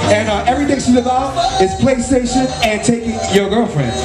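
A man keeps a moderate pace while loud music plays behind him. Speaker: event host emcee. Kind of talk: stage announcing. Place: stage.

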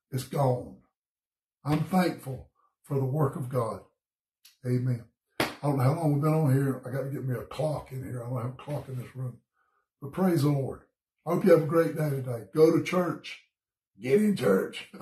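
A man's fairly high, somewhat breathy voice with a dark, mellow tone and a Southern US accent, moderate pace, long and frequent pauses, ordinary pitch variation, and audible room echo. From US South, Georgia. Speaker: pastor. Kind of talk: bible study devotion. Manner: casual, conversational. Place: home room. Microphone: phone near.

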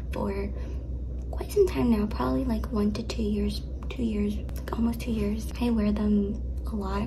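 Over noticeable background noise, a woman speaks at a moderate pace with a very deep, low pitch and monotone, flat intonation. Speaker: vlogger. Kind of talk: casual vlog chat, sponsored segment. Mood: cheerful, playful. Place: home room. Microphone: phone near.

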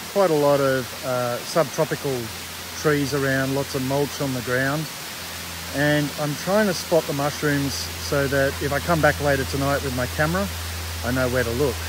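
A man is speaking against noticeable background noise. The sound is dry, with no echo. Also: moderate pace. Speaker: nature photographer vlogger. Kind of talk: casual vlog chat. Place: forest. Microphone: phone near.

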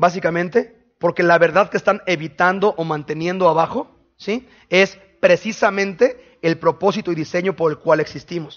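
This man talks loudly and in an animated tone, his high voice showing ordinary pitch variation at a moderate pace. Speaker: pastor. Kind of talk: sermon. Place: church. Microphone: headset.

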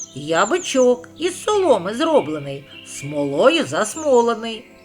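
With faint music in the background, a put-on character voice moves at a fairly slow pace through very wide pitch swings. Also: man, extremely high pitch for a man. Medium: read story.

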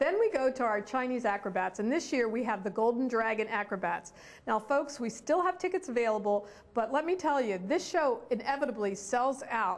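A woman speaks at a fairly quick pace with a high pitch. Her intonation is lively. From Philadelphia, US. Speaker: performing arts hall executive director. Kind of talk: casual promotional chat. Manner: animated.

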